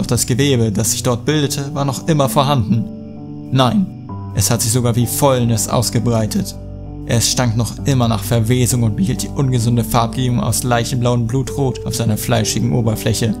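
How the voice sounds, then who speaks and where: A man speaks at a medium pitch with ordinary pitch variation. His pace is moderate, and music plays in the background. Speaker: creepypasta narrator. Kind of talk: horror story reading.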